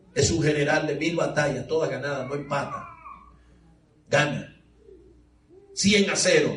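A man with a fairly high pitch speaks at a fairly slow pace with fairly even intonation, taking long, frequent pauses over noticeable background noise. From Dominican Republic. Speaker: preacher. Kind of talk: sermon. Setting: church with congregation.

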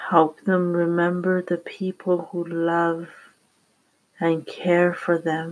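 A very slow pace on a very clean recording with a silent background. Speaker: prayer channel host. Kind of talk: fervent prayer. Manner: soft, earnest, devotional.

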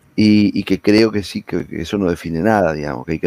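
The voice has a dark, mellow tone and moves at a fairly quick pace with ordinary pitch variation. The sound is dry and close, with no echo. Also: man. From Argentina, Greater Buenos Aires (Avellaneda). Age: 50s. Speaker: politician. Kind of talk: interview. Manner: halting, many repetitions.

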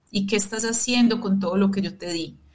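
The speaker is a woman. She talks with flat, monotone intonation. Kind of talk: reflective interview conversation. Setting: remote connection from her own booth.

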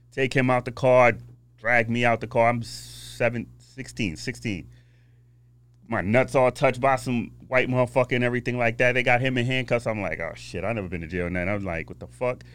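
A man with an American accent speaks at a fairly quick pace with vocal fry. His pitch is medium, with ordinary pitch variation. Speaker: nightclub owner. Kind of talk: casual chat.

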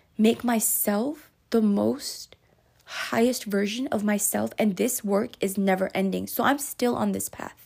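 Somewhat breathy and at medium pitch, a woman talks in an animated tone at a fairly slow pace. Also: ordinary pitch variation. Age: 20s. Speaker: podcast host. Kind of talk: solo monologue podcast.

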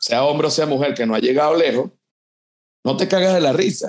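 The speaker has a Venezuelan accent. The intonation is lively. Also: man. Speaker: comedian. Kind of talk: casual chat.

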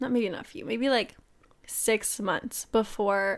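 A woman's plain, everyday voice, fairly high in pitch, with fairly even intonation on a very clean recording against a silent background. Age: 20s. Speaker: podcast co-host. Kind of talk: casual chat.

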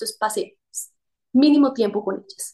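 Delivery comes at a fairly quick pace. The pitch shifts in an ordinary way. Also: woman. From Colombia, Quimbaya. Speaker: corporate executive. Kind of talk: casual interview.

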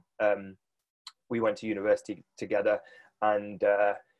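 Over a quiet background, a man with a British accent talks with ordinary pitch variation. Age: 30s. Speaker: business coach for fitness professionals. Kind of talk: casual interview. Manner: animated.

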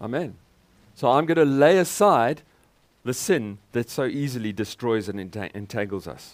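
On a very clean recording with a silent background, a man speaks at a fairly slow pace with lively intonation, big swings in loudness, and long, frequent pauses. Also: medium pitch for a man. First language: English (speaking German). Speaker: guest preacher. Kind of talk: sermon with live interpretation.

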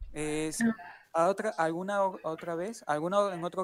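Fairly even intonation from a high-pitched man. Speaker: podcast co-host and event organizer. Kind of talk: casual chat. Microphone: too quiet on stream.

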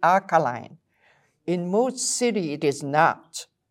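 In a very clean recording with a silent background, a woman with a French accent speaks fairly slowly at a fairly low pitch. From Belgium. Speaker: water chemist. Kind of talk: casual interview.

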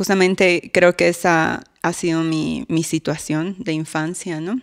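Here a woman has a plain, everyday voice with ordinary pitch variation. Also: dry, close sound with no echo. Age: 20s. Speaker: abuse survivor. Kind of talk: testimony.

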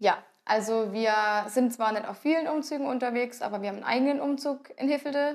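This woman talks very fast. Her pitch is high. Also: ordinary pitch variation. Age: 20s. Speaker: carnival club dancer. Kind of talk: casual interview.

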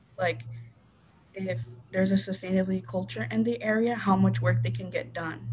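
With an American accent, the speaker talks at a fairly quick pace. There are long, frequent pauses and noticeable background noise. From southern Arizona (Rio Rico). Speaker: college student. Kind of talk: casual interview. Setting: video call.

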